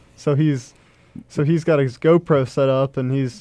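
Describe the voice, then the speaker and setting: A man speaks with an ordinary speaking voice at a fairly high pitch. His intonation stays fairly even. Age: 20s. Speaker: race car driver. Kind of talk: casual chat. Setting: studio.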